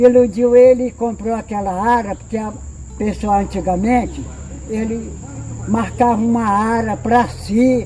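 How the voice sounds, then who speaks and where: A man's high-pitched voice at a fairly slow pace, monotone and flat in intonation, with noticeable background noise. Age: 80s+. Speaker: elderly local resident, retired rural worker. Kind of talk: interview, oral history. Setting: at his home.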